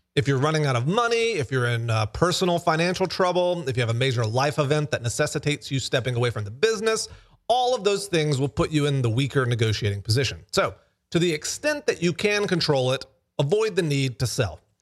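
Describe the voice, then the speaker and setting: Talking at a very fast pace, a man with a fairly high pitch makes very wide pitch swings in a very clean recording with a silent background. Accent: American. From US South, Alabama. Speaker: podcast host, startup founder. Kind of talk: solo talk on business lessons. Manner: casual, with fillers and restarts.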